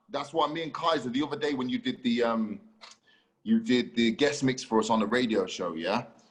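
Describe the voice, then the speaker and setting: In a plain, everyday voice, a man talks with lively intonation at a medium pitch and a fairly quick pace. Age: 30s. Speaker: podcast host and DJ. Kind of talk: casual chat.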